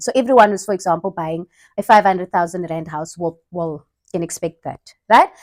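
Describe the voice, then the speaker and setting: A woman with a non-native accent speaks at a fairly quick pace with ordinary pitch variation. The sound is dry and close, with no echo. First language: not English. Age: young. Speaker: vlogger. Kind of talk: casual chat. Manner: halting.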